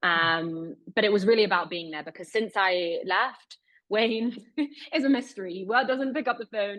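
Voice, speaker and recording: In a British accent, a woman talks at a moderate pace and medium pitch with ordinary pitch variation. Her loudness swings widely. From Britain. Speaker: investigative journalist. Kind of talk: webinar interview.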